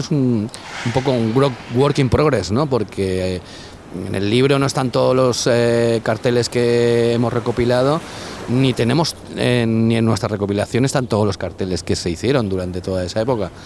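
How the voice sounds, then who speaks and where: Noticeable background noise sits behind a man speaking at a moderate pace with ordinary pitch variation and very even loudness. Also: medium pitch for a man. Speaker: DJ and music promoter. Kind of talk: casual interview. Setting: outdoors cycling along the coast. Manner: halting, many repetitions.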